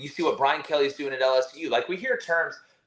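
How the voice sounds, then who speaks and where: A man speaks with a Southern US accent. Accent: Southern US, moderate. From Alabama. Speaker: college football analyst. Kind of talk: podcast interview. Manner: animated.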